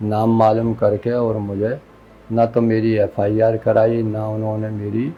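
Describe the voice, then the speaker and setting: A man with a fairly low pitch speaks in a monotone, flat intonation over music in the background. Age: 60s. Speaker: assault victim. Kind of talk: interview answer.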